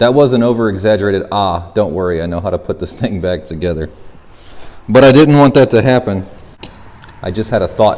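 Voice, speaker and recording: With lively intonation and a fairly low voice, a man speaks at a fairly quick pace but leaves long, frequent pauses. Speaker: go-kart and mini bike YouTuber. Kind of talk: DIY tutorial. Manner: casual, conversational.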